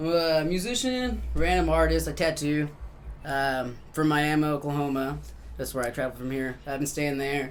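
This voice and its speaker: A moderate pace amid audible room echo. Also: man. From Mexico and US, raised bilingual. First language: Spanish. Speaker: musician and tattoo artist. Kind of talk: casual interview chat. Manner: relaxed, filler-heavy.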